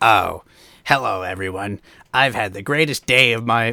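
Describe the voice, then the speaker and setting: In a put-on character voice, a man speaks raspy at a medium pitch and a moderate pace. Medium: read story. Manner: upbeat, gushing.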